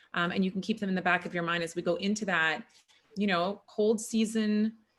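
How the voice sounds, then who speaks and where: Using a plain, everyday voice, a woman speaks at a fairly quick pace with medium pitch and fairly even intonation. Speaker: functional medicine practitioner and chiropractor. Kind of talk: online workshop presentation. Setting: video call.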